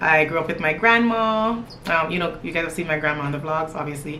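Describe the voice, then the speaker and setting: Her pitch is very deep and low for a woman, and she speaks at a moderate pace with ordinary pitch variation amid audible room echo. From Toronto area, Canada (born in Jamaica, moved at nine). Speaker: lifestyle vlogger. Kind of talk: casual get-to-know-me chat to camera.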